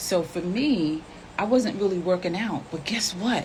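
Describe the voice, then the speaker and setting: In an ordinary speaking voice, the woman talks at medium pitch and a moderate speed. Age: 60s. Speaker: health and nutrition promoter. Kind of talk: casual live chat. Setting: live stream.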